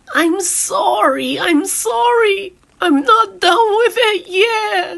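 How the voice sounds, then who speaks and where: Woman in a put-on character voice, extremely high in pitch with very wide pitch swings, at a very slow pace. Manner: apologetic.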